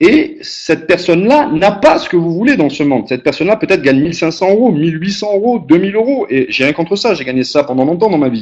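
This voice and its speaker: At a very fast pace with hardly any pauses, a man speaks at a high pitch, his voice making very wide pitch swings. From southern France, Aix-Marseille region. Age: 30s. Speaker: motivational speaker, business founder. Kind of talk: motivational webinar talk. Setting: web conference call. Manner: conversational, repetitive emphasis.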